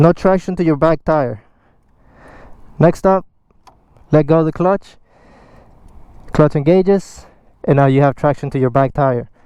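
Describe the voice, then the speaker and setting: With a non-native accent, a man speaks at a moderate pace in a fairly high pitch and a dark, mellow tone, his pitch varying in an ordinary way, with long, frequent pauses. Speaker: motorcycle rider. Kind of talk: instructional talk to camera. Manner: casual.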